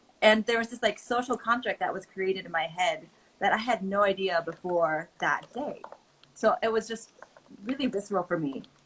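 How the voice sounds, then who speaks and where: A woman speaks with a Californian accent. Her pitch varies in an ordinary way. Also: medium pitch for a woman, moderate pace. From California, Oakland. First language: Mandarin. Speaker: creator and advocate. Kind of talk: casual chat.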